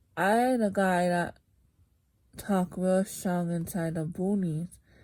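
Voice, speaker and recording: A woman speaks very slowly at a medium pitch, her dark, mellow voice somewhat breathy and her intonation fairly even, on a very clean recording with a silent background. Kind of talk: scripture reading.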